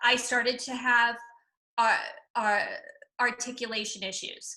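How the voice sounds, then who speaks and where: A woman's raised, projected voice, high-pitched with a bright, sharp tone, in an American accent at a fairly slow pace. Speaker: comedian. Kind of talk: interview. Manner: stutter.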